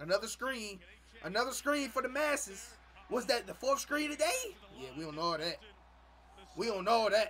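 A man uses a raised, projected voice at an extremely high pitch, animated and playful in tone with lively intonation. He takes long, frequent pauses over light background noise. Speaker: YouTube reaction streamer. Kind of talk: live reaction to game highlights, casual chat with viewers. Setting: streaming, playing game highlights. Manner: animated, loud, hyped, talking back to the screen; playful, teasing, trash-talking. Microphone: headset.

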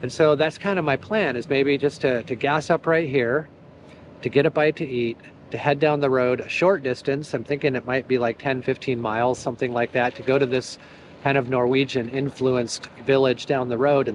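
A man's voice, dry and without echo, keeps a moderate pace and fairly even intonation while light background noise sits behind it. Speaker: motorcycle travel vlogger. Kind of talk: casual vlog chat. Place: street. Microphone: phone near.

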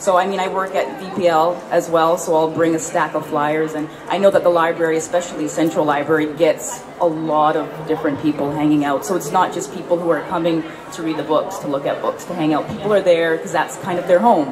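Over noticeable background noise, a woman talks at a fairly quick pace with hardly any pauses. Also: fairly even intonation. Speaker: writer and magazine editor. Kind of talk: panel discussion. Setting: stage with audience. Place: hall. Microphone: handheld.

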